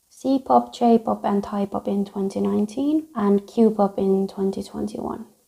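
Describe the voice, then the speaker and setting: With a Finnish accent, a woman at medium pitch speaks at a fairly slow pace with hardly any pauses and lively intonation. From Finland. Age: 20s. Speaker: youtuber. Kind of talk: casual Q&A.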